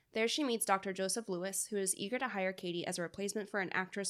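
Talking at a very fast pace, a woman holds a medium pitch with fairly even intonation. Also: hardly any pauses. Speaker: podcast co-host. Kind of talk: casual chat.

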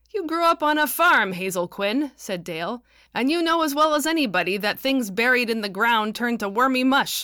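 Bright and sharp in tone, a woman speaks at a fairly high pitch and a fairly quick pace with lively intonation on a very clean recording with a silent background. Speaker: podcast host and novelist reading own audiobook. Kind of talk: literary audiobook reading of fiction. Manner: measured narrator's delivery, shifting into character voices for dialogue; wry, dryly humorous, with tart, haughty and quavery character inflections.

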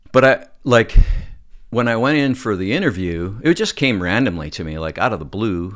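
A man with a western Canadian accent at medium pitch, very wide pitch swings and a moderate pace, in a very clean recording over a silent background. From Alberta, Calgary. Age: 50s. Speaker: film and TV director. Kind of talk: casual chat.

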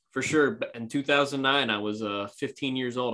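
A man with an unremarkable speaking voice and a medium pitch talks at a fairly quick pace. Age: 20s. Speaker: amateur podcaster and baseball fan. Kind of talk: casual chat.

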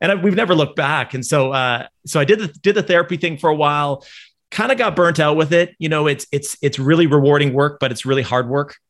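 Talking at a very fast pace, a man with a Canadian accent has a fairly high pitch. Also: ordinary pitch variation. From Canada. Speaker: entrepreneur. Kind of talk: casual panel chat. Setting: video call.

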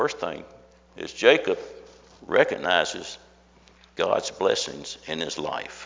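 A man speaks at a very slow pace. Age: old. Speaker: Sunday school teacher. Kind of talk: Bible study lesson. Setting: classroom with audience.

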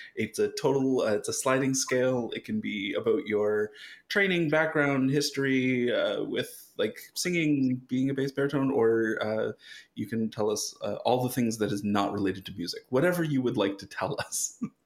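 Speaking at a moderate pace, a man has an unremarkable speaking voice pitched at a medium level. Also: lively intonation. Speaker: podcast host. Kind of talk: casual chat.

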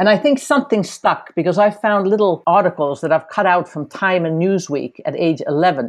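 Against a quiet background, a woman talks at a moderate pace in an unremarkable speaking voice. Her pitch is medium and her intonation lively. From Finland, partly raised in the United States. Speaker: China policy analyst. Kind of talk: interview.

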